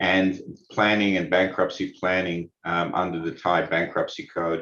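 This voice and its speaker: Very deep and low, this man's voice has a bright, sharp tone and an Australian accent. He speaks at a fairly slow pace with monotone, flat intonation. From Australia, Sydney. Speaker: lawyer. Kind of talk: webinar presentation. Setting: online webinar. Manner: halting, many fillers.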